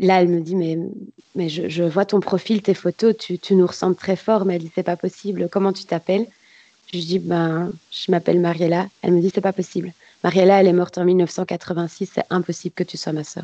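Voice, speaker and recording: Her fairly low voice stays monotone and flat, with a dark, mellow tone and a dry, close sound that has no echo. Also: moderate pace. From Belgium. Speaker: adoptee telling her story. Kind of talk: testimony. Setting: video call.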